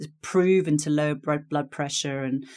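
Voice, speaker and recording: With an English accent, a woman talks at a fairly quick pace with lively intonation on a very clean recording with a silent background. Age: 50s. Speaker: career coach. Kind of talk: interview.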